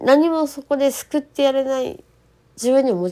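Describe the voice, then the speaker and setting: A woman speaks at a fairly slow pace. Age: 40s. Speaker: solo podcaster. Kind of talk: casual monologue. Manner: halting.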